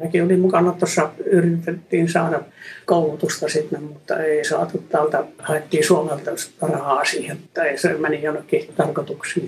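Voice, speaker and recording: Speaking at a moderate pace, a man uses a fairly high pitch with monotone, flat intonation. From Finland. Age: 80s+. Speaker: gemologist. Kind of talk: interview.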